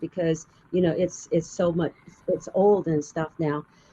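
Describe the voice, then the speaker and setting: A woman with an American accent and a fairly low pitch talks at a fairly slow pace in an unremarkable speaking voice. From US Southwest, Arizona. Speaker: storyteller. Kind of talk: interview.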